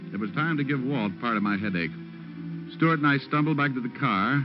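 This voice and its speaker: With music in the background, a man speaks at a medium pitch and a moderate pace with lively intonation. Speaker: private detective narrator. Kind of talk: old-time radio drama narration. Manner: wisecracking, hard-boiled.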